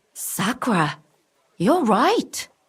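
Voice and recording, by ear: Putting on a character voice with a husky, rough edge, a woman speaks very slowly at a fairly high pitch, her pitch swinging widely.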